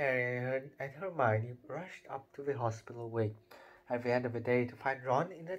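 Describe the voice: The intonation stays fairly even during plain reading aloud.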